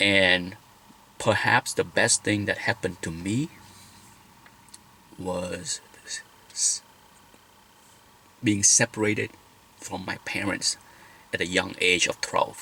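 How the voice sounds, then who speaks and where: A man with a Vietnamese accent speaks at a very slow pace in a fairly low pitch. His intonation is fairly even, with long, frequent pauses. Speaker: vlogger. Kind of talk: personal vlog talk.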